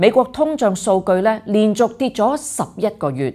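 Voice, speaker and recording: A woman's dark, mellow tone over a quiet background. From Hong Kong. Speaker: political commentary host. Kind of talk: scripted news commentary. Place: studio.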